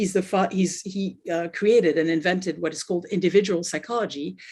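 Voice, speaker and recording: Speaking with a French accent, a woman talks at a medium pitch and moderate pace with ordinary pitch variation. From France. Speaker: life coach. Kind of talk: interview.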